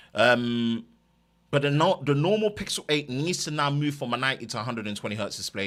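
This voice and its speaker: On a very clean recording with a silent background, a man with an East London accent speaks at a medium pitch and a very fast pace, his intonation lively. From East London, England. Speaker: tech YouTuber. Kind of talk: live stream chat.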